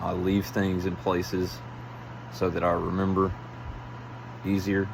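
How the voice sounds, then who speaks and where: Someone talks quietly and fairly slowly, with audible room echo and noticeable background noise. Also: man. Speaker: vlogger. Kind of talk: casual monologue. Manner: halting.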